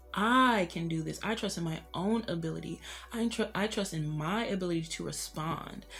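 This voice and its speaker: A woman's fairly low voice at a moderate pace with ordinary pitch variation, music playing in the background. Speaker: tarot reader. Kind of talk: tarot reading. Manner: casual, filler-heavy.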